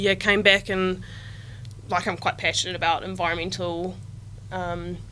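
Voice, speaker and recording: A woman speaks in a Southland New Zealand accent at a moderate pace. Her speech has long, frequent pauses. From New Zealand, Southland. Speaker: agritech startup team member. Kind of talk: podcast interview.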